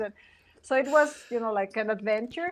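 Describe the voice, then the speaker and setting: In a Mexican accent, a woman with a fairly high pitch talks at a moderate pace. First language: Spanish. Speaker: singer. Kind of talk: casual chat. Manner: halting.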